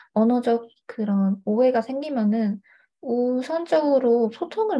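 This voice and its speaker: In a quiet background, a woman uses lively intonation while keeping a fairly slow pace. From China (Hangzhou), Korean family. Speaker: university student and tutor. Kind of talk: interview. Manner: hesitant, many fillers.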